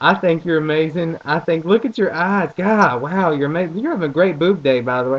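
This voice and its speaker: With hardly any pauses, a man talks at a fairly quick pace in a high pitch with an animated tone. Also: ordinary pitch variation. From US South, rural farm area. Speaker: vlogger. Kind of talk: casual vlog monologue. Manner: rambling, animated.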